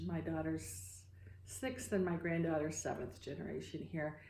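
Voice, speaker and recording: In audible room echo, a woman with a Midwestern American accent speaks at a very deep, low pitch with a dark, mellow tone and vocal fry. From US Midwest, Iowa. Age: 60s. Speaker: photographer and climate activist. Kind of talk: interview. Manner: halting.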